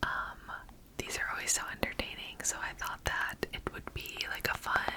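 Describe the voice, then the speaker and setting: Moderately paced whispering from a woman, noticeable background noise behind it. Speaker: ASMR creator. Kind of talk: casual whispered talk to camera with commentary. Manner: whispered, soft-spoken.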